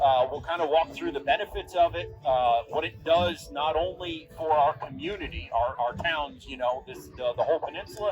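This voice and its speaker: Noticeable background noise sits behind the recording. A man talks with hardly any pauses. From Vermont, US Northeast. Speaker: composting educator. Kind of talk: public talk. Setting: outdoors. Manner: fast.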